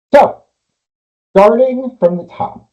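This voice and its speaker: A man speaks in a somewhat breathy voice. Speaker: executive function coach. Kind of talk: webinar presentation. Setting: online webinar with Q&A.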